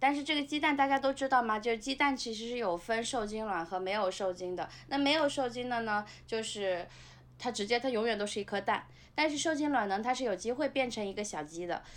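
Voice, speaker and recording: In an unremarkable speaking voice, a woman talks at a fairly quick pace with a fairly high pitch and lively intonation, on a very clean recording with a silent background. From Nanjing suburbs, China. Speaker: former restaurant industry worker. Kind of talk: casual chat.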